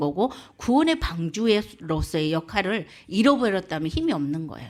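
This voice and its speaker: With a Jeolla accent, a woman talks at a moderate pace and medium pitch. Her pitch swings very widely. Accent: Jeolla dialect intonation. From South Korea, South Jeolla (Muan). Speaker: evangelist. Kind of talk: sermon.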